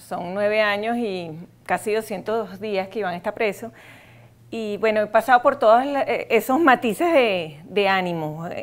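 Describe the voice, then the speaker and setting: The woman's pitch varies in a normal way. She talks rather slowly. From Venezuela. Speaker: human rights advocate, wife of a prisoner; interview guest. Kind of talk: casual chat. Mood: earnest, emotional. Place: studio. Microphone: lapel.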